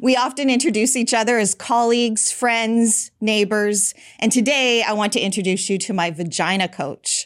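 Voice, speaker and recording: On a very clean recording with a silent background, a woman with an ordinary speaking voice talks at a moderate pace, her fairly high pitch showing ordinary variation. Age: 50s. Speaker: podcast host and women's health educator. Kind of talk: interview.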